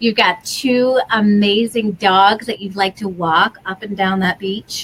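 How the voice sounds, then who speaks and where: Speaking at a fairly slow pace, a woman with an American accent uses fairly even intonation, a medium pitch and an unremarkable speaking voice. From US Midwest, Wisconsin. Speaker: online tutoring coach and channel host. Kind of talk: video call interview. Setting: video call.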